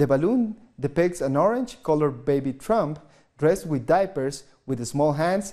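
In a quiet background, a man with a dark, mellow tone and a fairly high pitch speaks at a moderate pace with lively intonation. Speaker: news anchor. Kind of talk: news reading. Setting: studio. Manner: formal. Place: studio. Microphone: lapel.

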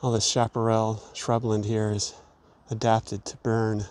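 A man's fairly slow speech, dry with no echo. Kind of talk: nature commentary. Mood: calm, explanatory. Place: open country.

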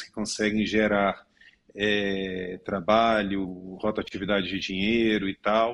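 A man with a fairly low pitch speaks in a flat monotone over a silent background in a very clean recording. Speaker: lawyer. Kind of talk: news panel commentary.

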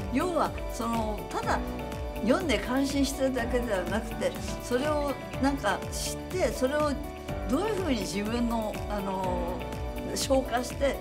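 A woman talks at a fairly slow pace, with long, frequent pauses. Music plays clearly in the background. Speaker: computer programmer. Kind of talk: interview answer. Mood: warm, smiling, gentle. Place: office.

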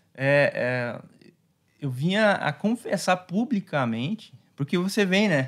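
A man's high-pitched voice at a very slow pace, with very wide pitch swings, over a quiet background. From Brazil, Paraná (Foz do Iguaçu); Paraná, Brazil. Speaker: pastor. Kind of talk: casual chat. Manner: calm, hesitant with many fillers. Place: studio. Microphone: studio mic.

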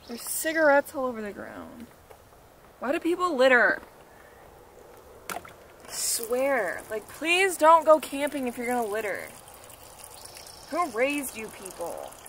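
A woman with a high pitch and lively intonation speaks at a fairly slow pace with long, frequent pauses and big swings in loudness, in a dry sound with no echo and light background noise. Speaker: car-living vlogger. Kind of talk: casual vlog chat. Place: open country.

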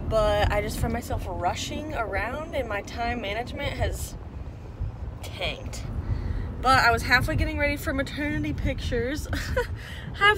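This woman talks at a moderate pace. The sound is dry with no echo, and background noise is noticeable. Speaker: vlogger. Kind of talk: casual vlog chat. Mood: cheerful, self-mocking. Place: car. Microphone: phone near.

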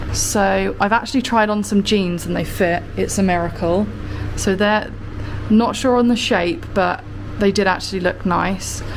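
A woman's fairly slow speech over music in the background. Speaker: vlogger. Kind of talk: casual vlog chat. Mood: upbeat, chatty. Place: shop. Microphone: phone near.

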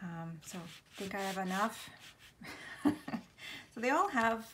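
Light background noise is present. The speaker is a woman. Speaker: craft artist demonstrating. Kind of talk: tutorial.

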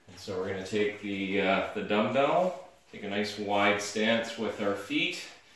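A man speaks at a fairly slow pace with ordinary pitch variation. Strong room echo fills the recording. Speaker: fitness instructor. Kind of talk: tutorial. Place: gym. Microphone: camera far.

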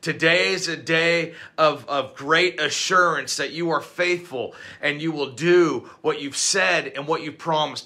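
A man talks in a bright, sharp tone with fairly even intonation. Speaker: pastor. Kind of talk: fervent extemporaneous prayer, declaring renewed hope over listeners. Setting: recorded video message. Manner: run-on, breathless torrent of phrases with no pauses; rising, emphatic repetition building intensity. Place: home room. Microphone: phone near.

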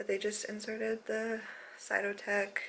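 A woman speaks while light noise sits in the background. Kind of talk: casual vlog chat. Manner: low, sleepy, unslept voice in bed. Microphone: phone near.

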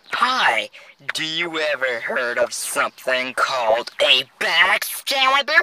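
At a fairly slow pace and middle pitch, the speaker uses a put-on character voice. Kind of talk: character voice lines.

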